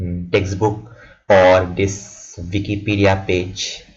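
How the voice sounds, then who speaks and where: A man's fairly low, somewhat breathy voice at a very slow pace, monotone with flat intonation, with audible room echo. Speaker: student tutor explaining exam formulas. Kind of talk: tutorial. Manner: halting, repeated words.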